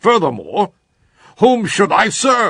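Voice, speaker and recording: A man's put-on character voice. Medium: audio drama.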